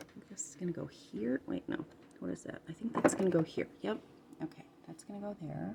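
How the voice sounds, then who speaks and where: Soft-spoken and at a fairly quick pace, a woman talks with big swings in loudness. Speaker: ASMR content creator. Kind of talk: soft-spoken ASMR tutorial. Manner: halting.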